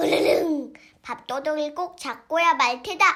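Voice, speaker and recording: A growling, high-pitched put-on character voice moves at a moderate pace. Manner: growling, vengeful.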